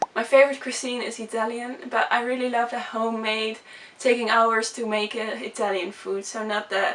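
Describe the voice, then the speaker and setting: A woman's fairly high voice with a Dutch accent, fairly even in intonation, over noticeable background noise. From Netherlands. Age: 20s. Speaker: vlogger. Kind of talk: casual chat. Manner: fast; halting.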